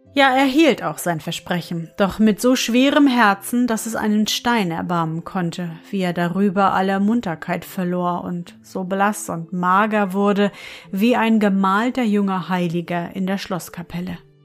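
Her tone is gentle and warm, and the woman speaks at a fairly slow pace with ordinary pitch variation. Noticeable background noise sits under her voice. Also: medium pitch for a woman. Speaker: fairy-tale podcast narrator. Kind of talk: bedtime story reading aloud, scripted narration. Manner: soft, calm, slow and soothing; gentle storyteller, warm and lulling.

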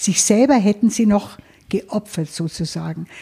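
A woman speaks at a moderate pace in a somewhat breathy, dark, mellow voice of medium pitch with ordinary pitch variation. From Lower Bavaria, Germany. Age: 70s. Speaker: financial advisor. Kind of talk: interview. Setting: her office.

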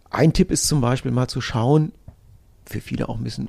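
A man talks at a moderate pace in a medium pitch, his tone dark and mellow and somewhat breathy, with ordinary pitch variation. The recording is very clean, with a silent background. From northern Hesse, Germany. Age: 50s. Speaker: sports nutrition expert. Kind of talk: interview. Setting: studio.

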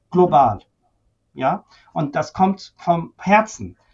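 A man with a high pitch speaks using lively intonation. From Iran (Tehran), moved to Germany at 13. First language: Persian (speaking German). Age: 50s. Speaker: senior physician, ventilation medicine expert. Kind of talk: interview conversation.

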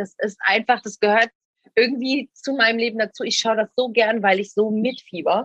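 Bright and sharp in tone, a woman's fairly high voice comes through with a dry, close sound and no echo. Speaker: reality TV personality. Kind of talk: casual interview. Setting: outdoors.

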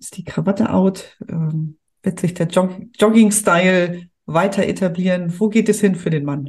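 Somewhat breathy and at a medium pitch, a woman talks at a fairly slow pace with fairly even intonation and big swings in loudness. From Hamburg, northern Germany. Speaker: podcast host, family business consultant. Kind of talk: interview.

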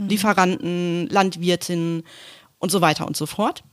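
This woman has a plain, everyday voice, pitched fairly low. She speaks at a moderate pace. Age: 40s. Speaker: corporate communications manager. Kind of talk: casual interview. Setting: office.

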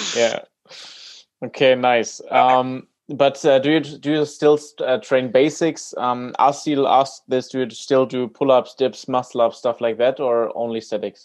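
The man uses a normal speaking voice, speaking fairly slowly at medium pitch with fairly even intonation. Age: 20s. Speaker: podcast host. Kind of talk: interview.

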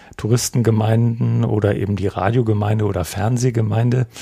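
Somewhat breathy and fairly low, the man's voice has a dark, mellow tone and fairly even intonation. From Lower Saxony, Germany. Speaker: pastor and church broadcasting representative. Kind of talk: casual discussion.

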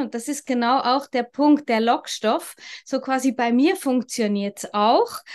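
Against a quiet background, a woman speaks at a high pitch and a fairly slow pace. Her pitch varies in an ordinary way. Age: 50s. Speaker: crypto mentor. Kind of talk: interview conversation.

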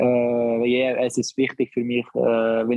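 A man's monotone, flat intonation at a fairly slow pace. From Barcelona, Spain. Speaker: professional footballer. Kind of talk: casual interview. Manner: halting.

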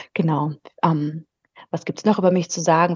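A woman talks in a normal speaking voice. Her pitch is fairly low and her intonation fairly even. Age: 30s. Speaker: business culture consultant. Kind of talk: interview.

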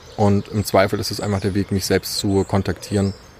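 His pitch sits fairly low. The man talks at a fairly quick pace. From Saxony, Dresden. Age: 20s. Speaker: youth participation facilitator. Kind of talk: interview. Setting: outdoors in a park.

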